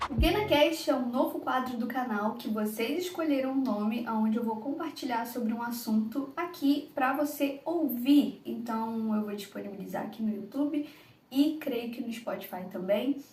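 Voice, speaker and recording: With a Rio de Janeiro accent, a woman speaks at a high pitch with ordinary pitch variation over noticeable background noise. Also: moderate pace. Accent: Carioca Brazilian Portuguese. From Rio de Janeiro, Brazil. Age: 20s. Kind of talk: devotional podcast talk. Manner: casual, conversational.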